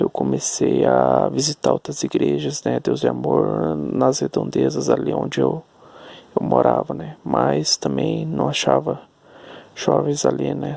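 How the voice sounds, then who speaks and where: A soft-spoken man at a fairly slow pace, dry and close with no echo, over noticeable background noise. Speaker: vlogger. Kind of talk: personal storytelling monologue. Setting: at home at night. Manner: halting.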